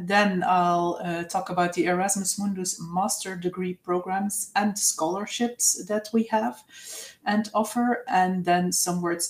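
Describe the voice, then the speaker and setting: With a Dutch accent and a medium pitch, a woman talks at a fairly slow pace with fairly even intonation over noticeable background noise. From Flanders, Belgium. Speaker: university representative. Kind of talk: presentation. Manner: hesitant, many fillers.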